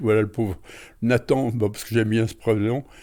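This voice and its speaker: Speaking at a fairly quick pace, a man has a dark, mellow tone on a very clean recording with a silent background. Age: 80s+. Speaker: retired amateur author and painter. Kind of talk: interview. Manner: hesitant, with fillers.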